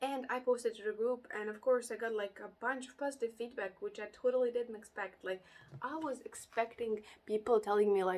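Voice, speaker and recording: A woman talks at a moderate pace. She has a non-native accent. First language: not English. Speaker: interior designer and YouTuber. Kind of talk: casual vlog talk to camera. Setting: home recording during heat wave with fan. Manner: halting, many fillers.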